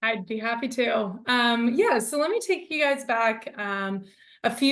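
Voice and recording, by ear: A woman's fairly high-pitched voice at a moderate pace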